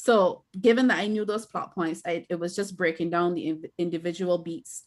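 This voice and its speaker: A woman speaks with a Barbadian accent. Her pitch variation is ordinary. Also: fairly low pitch for a woman, moderate pace. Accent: Barbadian (Bajan). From Barbados. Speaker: author and filmmaker. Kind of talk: interview.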